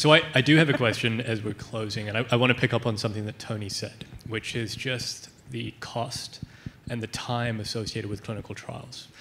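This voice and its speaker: The voice moves at a fairly quick pace with fairly even intonation against noticeable background noise. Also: man, medium pitch for a man. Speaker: audience member. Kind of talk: audience question.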